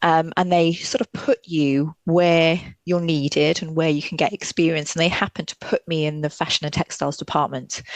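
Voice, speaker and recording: In a slight Welsh accent, a woman speaks at a moderate pace and a fairly low pitch, with fairly even intonation, hardly any pauses, and a dry, close sound with no echo. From Wales, Welsh-English border near South Wales valleys. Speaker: fashion historian. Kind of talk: podcast interview. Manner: halting, many fillers.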